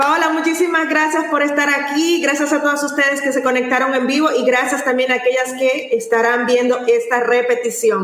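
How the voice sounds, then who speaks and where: A woman speaks at a high pitch and moderate pace, with fairly even intonation, very even loudness and hardly any pauses. Noticeable background noise and audible room echo are present. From Latin America. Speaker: podcast host. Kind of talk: interview. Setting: live stream.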